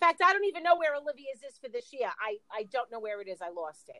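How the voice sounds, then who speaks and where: A woman's raised, projected voice swings very widely in pitch with a bright, sharp tone. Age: 50s. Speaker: podcast co-host. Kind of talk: casual chat.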